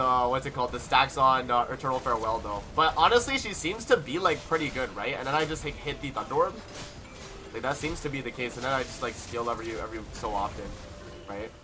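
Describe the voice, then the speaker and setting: Music plays behind a man who speaks very fast in an animated tone. His pitch is medium, with ordinary variation. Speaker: gaming streamer. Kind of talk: live gameplay stream chat. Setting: live stream. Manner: loud; casual, animated.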